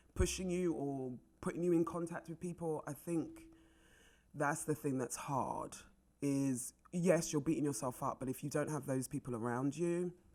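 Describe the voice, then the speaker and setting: A woman speaks at a moderate pace in a very deep, low voice with a dark, mellow tone and ordinary pitch variation. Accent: London. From North London, England (Wembley), Jamaican family. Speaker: actress. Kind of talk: casual chat.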